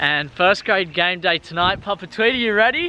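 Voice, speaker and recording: A man's high-pitched voice with an Australian accent, ordinary pitch variation, and noticeable background noise. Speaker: vlogger, aspiring footballer. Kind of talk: casual vlog. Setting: in a car. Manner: animated.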